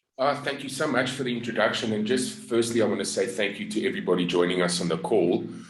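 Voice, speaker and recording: A man with an American accent talks at a very fast pace with hardly any pauses. His pitch swings very widely, and audible room echo is present. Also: medium pitch for a man. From South Africa. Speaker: network marketer. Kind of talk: business pitch and story. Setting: group video call.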